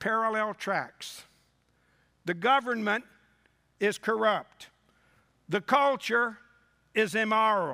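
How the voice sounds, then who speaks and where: A man with a high pitch and a bright, sharp tone raises and projects his voice at a very slow pace on a very clean recording with a silent background. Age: 60s. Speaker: revival preacher. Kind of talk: sermon. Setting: church with congregation.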